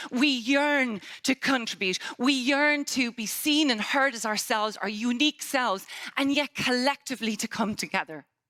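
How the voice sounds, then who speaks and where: A woman with an Irish accent talks at a moderate pace in a high pitch, her tone bright, sharp and animated, with ordinary pitch variation. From Ireland. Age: 50s. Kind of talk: conference keynote talk. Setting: stage with audience.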